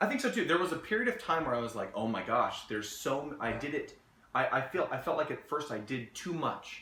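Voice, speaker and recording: There is noticeable background noise as a man talks at a fairly quick pace. His fairly high voice moves in very wide pitch swings. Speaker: game master. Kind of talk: casual conversation, advice talk.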